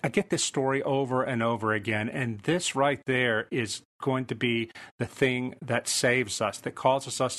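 At a moderate pace, a man with a plain, everyday voice speaks at a fairly high pitch. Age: 50s. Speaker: author. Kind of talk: interview.

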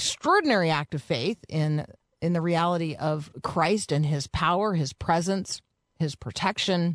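At a moderate pace, the speaker uses an ordinary speaking voice, with ordinary pitch variation and very even loudness. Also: woman, fairly low pitch for a woman. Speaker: radio host. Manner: warm, conversational.

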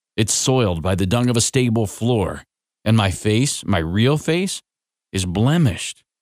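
The voice is an unforced reading voice with lively intonation. The background is quiet.

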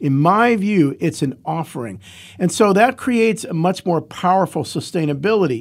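With an American accent and lively intonation, a man speaks at high pitch and a moderate pace on a very clean recording with a silent background. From Ohio, US (Cleveland). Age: 60s. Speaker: founder of a homeless shelter charity. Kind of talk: interview.

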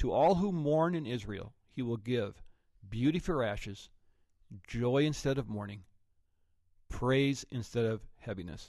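Long, frequent pauses break up a man's medium-pitched speech with lively intonation. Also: fairly slow pace. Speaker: pastor and podcast host. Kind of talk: interview.

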